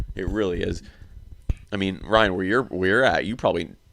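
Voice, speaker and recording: Speaking with an American accent, a man uses a very deep, low pitch with ordinary pitch variation. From Iowa, US Midwest. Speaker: podcast host. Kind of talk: casual chat. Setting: home game room with friends.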